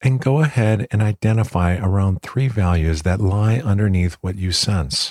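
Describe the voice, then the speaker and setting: With an ordinary speaking voice, a man talks at a fairly low pitch with ordinary pitch variation, in a dry, close sound with no echo and a very clean recording with a silent background. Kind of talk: guided meditation. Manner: calm, soothing, gentle; slow, unhurried pacing.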